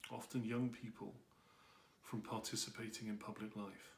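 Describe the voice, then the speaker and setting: This man's voice is somewhat breathy. His pace is moderate. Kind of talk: personal commentary to camera.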